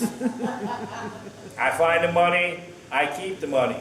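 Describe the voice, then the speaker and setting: With noticeable background noise behind him, a man speaks at a high pitch. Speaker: pastor and teacher. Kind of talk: sermonette to a congregation, conversational.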